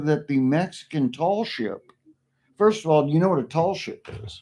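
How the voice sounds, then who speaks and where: At a moderate pace, a man with an American accent speaks with lively intonation. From Oklahoma. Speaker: streamer. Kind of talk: casual chat. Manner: halting.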